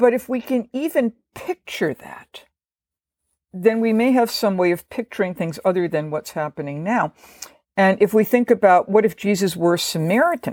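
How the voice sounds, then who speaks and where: A woman with an ordinary speaking voice speaks at a medium pitch and moderate pace with lively intonation, in a dry, close sound with no echo on a very clean recording with a silent background. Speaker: professor of biblical studies. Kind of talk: scholarly explanation in a podcast interview.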